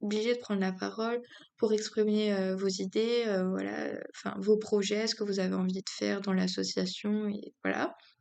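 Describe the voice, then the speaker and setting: This woman's voice sits fairly high in pitch, and she talks at a moderate pace. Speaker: youtuber giving speaking tips. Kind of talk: casual tutorial. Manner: hesitant, many fillers; does not project.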